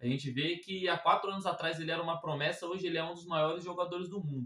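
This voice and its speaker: Over noticeable background noise, a man with a high voice talks at a very fast pace with fairly even intonation. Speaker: football reaction youtuber. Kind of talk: casual reaction commentary. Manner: casual, conversational.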